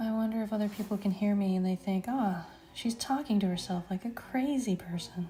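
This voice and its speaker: Soft-spoken and somewhat breathy, a woman talks fairly quickly in a medium pitch with a dark, mellow tone, very even loudness, and ordinary pitch variation. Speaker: artist streaming live sketches. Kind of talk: casual live stream chat while drawing. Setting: art studio, live stream. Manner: soft-spoken, quiet.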